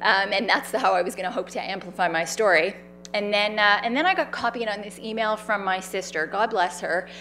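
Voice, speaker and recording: Her intonation stays fairly even at a medium pitch. The woman speaks with a Canadian accent. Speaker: cancer survivor and patient advocate. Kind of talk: public talk. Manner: loud.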